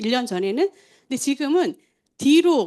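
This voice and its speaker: A woman speaks in a high pitch with very wide pitch swings. Her pace is moderate, and the background is quiet. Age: 60s. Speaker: testimonial speaker at supplement sales meeting. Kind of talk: testimony.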